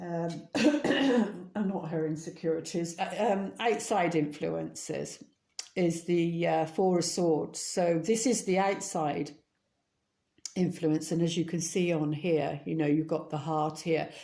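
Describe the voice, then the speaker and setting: A woman's very slow, fairly low-pitched voice with a dark, mellow tone, vocal fry and ordinary pitch variation. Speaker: tarot reader. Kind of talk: tarot reading. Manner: halting, many fillers.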